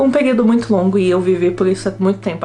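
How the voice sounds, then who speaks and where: A woman talks very fast in a fairly low pitch with a São Paulo accent. Music plays in the background. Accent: Brazilian Portuguese, São Paulo. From São Paulo state coast, Brazil. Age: 20s. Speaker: university student, vlogger. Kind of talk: casual talk to camera.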